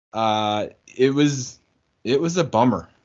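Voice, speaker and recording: With a medium pitch, the man speaks with ordinary pitch variation. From US Midwest. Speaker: sports podcast co-host. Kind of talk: casual chat.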